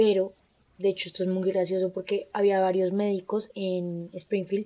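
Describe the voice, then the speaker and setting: A woman speaks in a dark, mellow tone. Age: 20s. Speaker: true crime podcast co-host. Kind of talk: casual chat with case narration.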